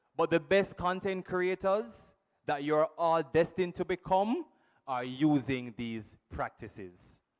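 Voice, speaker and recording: A man speaks fairly slowly in a high voice with lively intonation, captured with a dry, close sound and no echo. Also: very clean recording, silent background. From Jamaica. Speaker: workshop presenter. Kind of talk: workshop talk.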